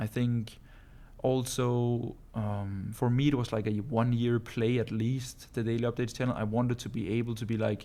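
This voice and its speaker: Dark and mellow, a voice with a Danish accent moves at a fairly quick pace in monotone, flat intonation. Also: man. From Denmark. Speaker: entrepreneur vlogger. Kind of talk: casual vlog monologue. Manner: casual, with frequent fillers.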